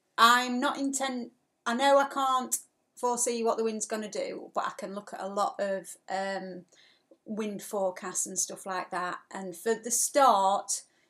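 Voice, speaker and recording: The woman's fairly high voice has a bright, sharp tone and ordinary pitch variation. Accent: English. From England. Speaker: sailing vlogger. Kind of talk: live stream chat. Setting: live stream from home. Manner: fast.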